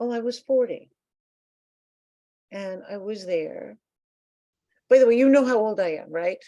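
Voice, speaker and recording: A woman with an American accent and a dark, mellow tone, fairly slow, with long and frequent pauses, big swings in loudness and ordinary pitch variation. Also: fairly high pitch for a woman. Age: 70s. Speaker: composer. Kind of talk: interview. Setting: video call. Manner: animated.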